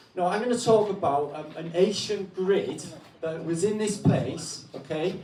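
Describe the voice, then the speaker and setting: In a Welsh accent, a man with a high pitch talks at a fairly slow pace with ordinary pitch variation and big swings in loudness, against noticeable background noise and audible room echo. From Wales. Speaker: guest speaker on alternative history. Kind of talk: talk to an audience. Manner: loud, projecting voice.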